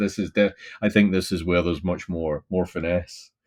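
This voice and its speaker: A man with a Glaswegian accent talks at a fairly quick pace. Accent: Glaswegian Scottish. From Scotland, Glasgow. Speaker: senior scientific advisor, podcast co-host. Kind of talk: casual chat. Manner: repeats words, halting.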